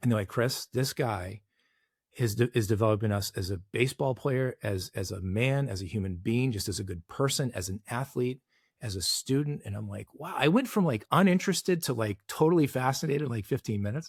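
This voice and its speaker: On a very clean recording with a silent background and a dry, close sound with no echo, a somewhat breathy man speaks fairly quickly with an American accent. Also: medium pitch for a man. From Boston, Massachusetts. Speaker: executive coach and former baseball player. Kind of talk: podcast interview storytelling.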